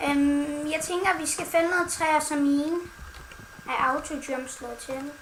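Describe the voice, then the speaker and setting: A woman with a high voice talks at a very slow pace with fairly even intonation, while noticeable background noise and audible room echo fill the recording. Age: 20s. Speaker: gaming YouTuber. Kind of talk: casual chat. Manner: playful.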